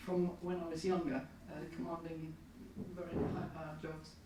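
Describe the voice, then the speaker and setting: Audible room echo and noticeable background noise accompany a woman speaking at a fairly quick pace. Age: 70s. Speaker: audience member. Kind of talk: audience question. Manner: halting.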